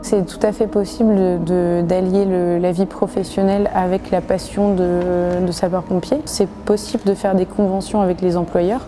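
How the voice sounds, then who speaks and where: Music plays in the background as a woman speaks at a medium pitch and a fairly slow pace. Her intonation is fairly even, and she leaves hardly any pauses. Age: 20s. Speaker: volunteer firefighter. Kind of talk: interview testimony. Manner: hesitant, with fillers.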